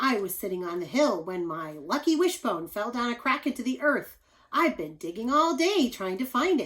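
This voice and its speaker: A woman puts on a character voice pitched high, with very wide swings in pitch. The recording is very clean, with a silent background. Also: moderate pace. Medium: read story.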